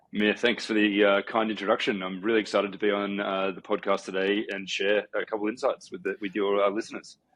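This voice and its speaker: With an Australian accent, a man at a fairly low pitch rattles along at a very fast pace with hardly any pauses and flat, monotone intonation. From Australia, Sydney. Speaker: company co-founder. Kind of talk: podcast interview. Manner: hesitant fillers.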